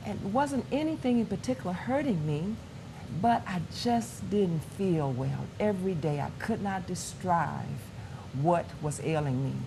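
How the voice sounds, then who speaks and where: A woman's fairly low, dark and mellow voice with vocal fry and very wide pitch swings, at a fairly slow pace in audible room echo. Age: 60s. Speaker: pastor. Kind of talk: testimony.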